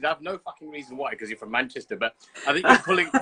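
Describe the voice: A man speaks at a fast pace with a bright, sharp tone, a slightly husky edge, lively intonation and a slight Birmingham accent. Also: medium pitch for a man. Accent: English, light Birmingham.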